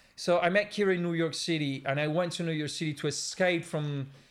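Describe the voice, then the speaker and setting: The speaker is a man with an Italian accent. He talks at a moderate speed. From Milan, Italy. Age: 40s. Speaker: designer and former graffiti artist. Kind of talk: casual interview. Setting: studio. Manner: halting.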